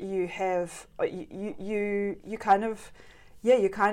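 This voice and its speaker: A woman speaks with a New Zealand accent. Her intonation is fairly even. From New Zealand West Coast. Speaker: artist. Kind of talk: interview. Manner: halting.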